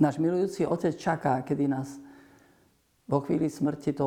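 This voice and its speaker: A man's dark, mellow voice at a moderate pace with fairly even intonation. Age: 60s. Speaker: priest. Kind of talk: religious TV talk.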